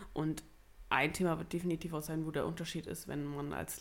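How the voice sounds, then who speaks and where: A woman with a fairly low pitch speaks at a fairly quick pace. Vocal fry runs through her voice. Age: 20s. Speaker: podcast co-host. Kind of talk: casual chat.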